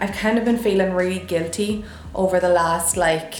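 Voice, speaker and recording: With music in the background, a woman with an Irish accent speaks at a moderate pace. Her medium-pitched voice stays monotone and flat. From Ireland. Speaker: lifestyle vlogger. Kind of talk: casual talk to camera.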